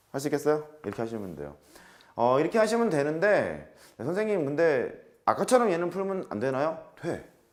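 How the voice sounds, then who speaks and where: A man's fairly high voice with very wide pitch swings, a fairly quick pace, long, frequent pauses and audible room echo. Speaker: math teacher. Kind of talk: lecture. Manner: fast.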